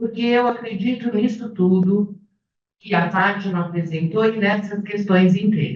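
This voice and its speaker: A woman with an ordinary speaking voice talks at a fairly slow pace, her intonation lively. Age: 60s. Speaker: retired fashion professor. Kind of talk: academic panel talk.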